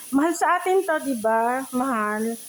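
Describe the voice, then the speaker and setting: A woman's high voice comes through over noticeable background noise. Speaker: cooking vlogger. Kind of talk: cooking tutorial. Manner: casual, chatty.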